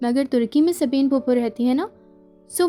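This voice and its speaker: A soft-spoken woman talks in a high pitch with a calm, soothing tone and ordinary pitch variation. Music plays in the background. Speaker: audiobook narrator. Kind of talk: audiobook novel reading. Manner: soft, calm, soothing.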